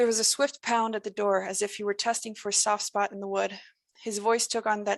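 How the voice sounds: The background stays quiet. Over it comes a natural reading voice.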